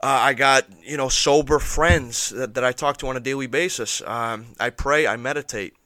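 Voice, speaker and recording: A man speaks at a medium pitch in a bright, sharp tone. The sound is dry and close with no echo, on a very clean recording with a silent background. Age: 20s. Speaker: recovering alcoholic guest sharing his story. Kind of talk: casual interview, personal recovery testimony. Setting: studio.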